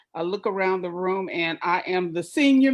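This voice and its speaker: This woman talks at a moderate pace, her pitch swinging very widely. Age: 60s. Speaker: entrepreneur. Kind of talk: panel discussion. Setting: live video panel. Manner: animated.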